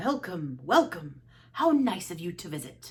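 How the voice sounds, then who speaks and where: A woman performs a put-on character voice at a fairly low pitch. She moves at a moderate pace with very wide pitch swings. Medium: read story. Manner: gentle, kind.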